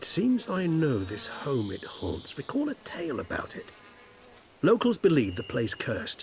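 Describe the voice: A man puts on a character voice at a fairly high pitch, swinging very widely in pitch at a fairly slow pace.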